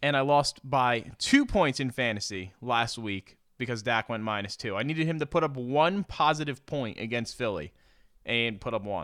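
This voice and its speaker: With an American accent, a man of medium pitch talks at a moderate pace in an unremarkable speaking voice with lively intonation, captured in a very clean recording with a silent background. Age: 20s. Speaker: sports podcast co-host. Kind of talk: casual chat.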